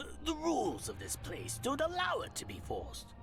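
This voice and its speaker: Clear background noise behind a put-on character voice. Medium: video game. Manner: pleading.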